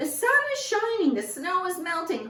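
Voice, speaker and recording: A woman puts on a squeaky character voice at an extremely high pitch, swinging very widely up and down. A slight echo surrounds it. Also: moderate pace. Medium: read story.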